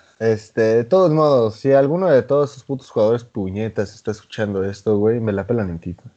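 Speaking at a fairly quick pace with hardly any pauses, a man with a Mexican accent swings widely in loudness. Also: medium pitch for a man, lively intonation. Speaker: podcast co-host. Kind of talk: casual chat.

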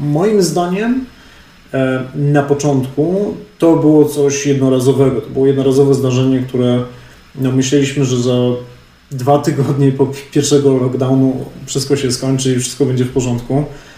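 In a room with audible echo, a man with a fairly high, somewhat breathy voice and a dark, mellow tone speaks at a moderate pace with fairly even intonation. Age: 30s. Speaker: real estate analyst and podcaster. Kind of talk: webinar lecture.

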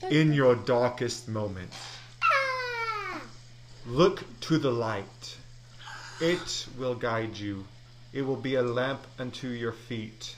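A man uses a put-on character voice, booming and solemn at a medium pitch. He goes at a very slow pace with long, frequent pauses, over clear background noise. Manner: solemn, oracular.

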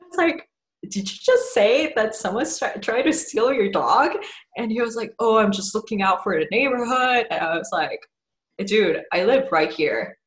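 Somewhat breathy, a woman talks at a moderate pace in a fairly high pitch with lively intonation. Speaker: science writer, chemistry PhD. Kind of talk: casual interview. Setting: video call. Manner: halting, many fillers.

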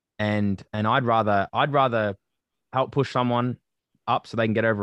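At a moderate pace, a man with an Australian accent talks in a fairly low pitch against a quiet background. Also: dry, close sound with no echo. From Australia, western suburbs of Melbourne. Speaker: athlete and student. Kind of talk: interview conversation.

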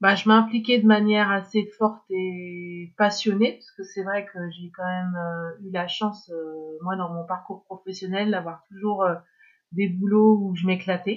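Speaking at a fairly slow pace, a woman keeps a medium pitch and monotone, flat intonation while her loudness swings widely. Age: 50s. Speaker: former cultural sector executive. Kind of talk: testimony. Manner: halting.

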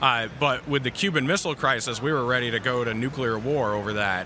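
A man speaks at a fairly quick pace with fairly even intonation over noticeable background noise. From New Hampshire. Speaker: trucker and podcast host. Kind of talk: casual chat. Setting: live event recording.

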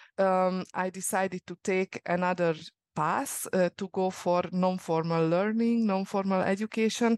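A woman with a Hungarian accent, medium in pitch, at a fairly slow pace with fairly even intonation and a dry, close sound with no echo. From Hungary. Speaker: youth work project coordinator. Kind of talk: interview conversation. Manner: hesitant, many fillers.

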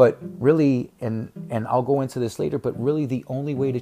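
A man with an American accent at a medium pitch, fairly quick pace, and ordinary pitch variation, with music in the background. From Chicago, US Midwest. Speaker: author and podcast host. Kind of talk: solo monologue podcast. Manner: halting, many fillers.

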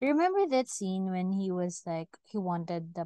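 A woman with a Filipino accent speaks at a moderate pace in a dark, mellow tone, recorded dry and close with no echo. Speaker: podcast co-host. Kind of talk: casual chat. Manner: animated.

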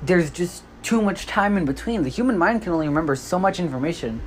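The talking goes at a very fast pace while noticeable background noise carries on. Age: young. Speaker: solo podcaster reviewing movies and games. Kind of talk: casual solo monologue review. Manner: halting, with many fillers and restarts.

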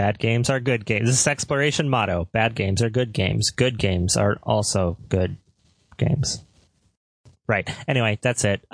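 A normal speaking voice, very even in loudness, moves at a moderate pace with ordinary pitch variation in a dry, close sound with no echo. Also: man, medium pitch for a man. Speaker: podcast host. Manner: casual, jokey.

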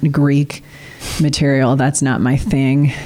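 A woman speaks in a very deep, low pitch with a Midwestern US accent. Noticeable background noise sits behind her. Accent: US Midwest. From Illinois, Peoria. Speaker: school district communications director. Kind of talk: interview. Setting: studio.

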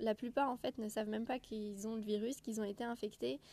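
A woman's fairly high pitch and dark, mellow tone at a very fast pace. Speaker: medical student podcaster. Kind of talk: casual solo podcast monologue. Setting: outdoors.

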